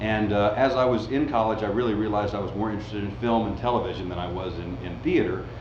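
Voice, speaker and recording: Talking at a very fast pace with fairly even intonation, a man with a Southern US accent has a fairly low pitch, with audible room echo and noticeable background noise. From US South. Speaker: voice actor. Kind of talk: interview.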